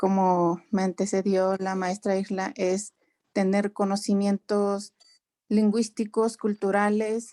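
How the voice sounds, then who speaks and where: A dark, mellow voice at a very slow pace, flat and monotone, with a dry, close sound and no echo. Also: woman. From Mexico, Ixmiquilpan, Hidalgo. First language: Otomi (Hñähñu) (speaking Spanish). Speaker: translator and interpreter. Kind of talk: panel discussion.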